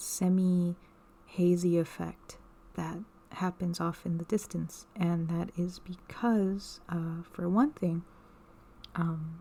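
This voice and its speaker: Someone soft-spoken talks at a very slow pace, leaving long, frequent pauses. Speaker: ASMR creator; artist. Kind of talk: casual ASMR talk to camera.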